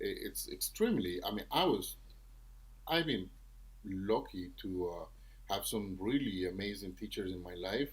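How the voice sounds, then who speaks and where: This man has a Venezuelan accent. He speaks at a moderate pace. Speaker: trombonist and music professor. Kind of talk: podcast interview.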